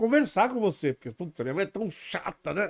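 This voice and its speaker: A man's voice comes through dry and close with no echo on a very clean recording with a silent background. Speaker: web show host. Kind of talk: interview. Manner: halting.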